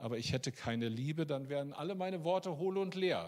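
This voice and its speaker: With a normal speaking voice, a man talks at a moderate pace and ordinary pitch variation. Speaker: preacher. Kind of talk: sermon. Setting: church.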